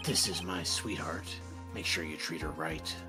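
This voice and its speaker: With loud music behind him, a man does a put-on character voice at a moderate pace. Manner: brooding, edgy.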